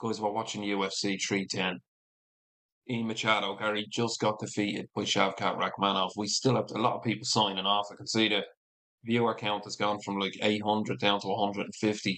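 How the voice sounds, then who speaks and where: Fairly quick and flat in intonation, a man with a Dublin accent speaks at a fairly low pitch with a bright, sharp tone. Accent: Irish (Dublin). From Ireland. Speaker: MMA streamer. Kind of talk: live watch-along commentary. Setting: livestream.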